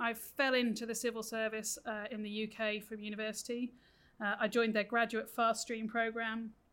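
On a very clean recording with a silent background, a voice with a British accent speaks at a moderate pace in a monotone, flat intonation. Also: woman, fairly high pitch for a woman. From UK. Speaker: senior education official. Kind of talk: interview.

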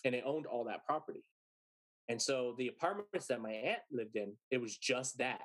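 An American accent marks a man's ordinary speaking voice, medium in pitch with ordinary variation and a fairly quick pace. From San Antonio, Texas. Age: 30s. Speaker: musician and podcast host. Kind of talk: storytelling interview.

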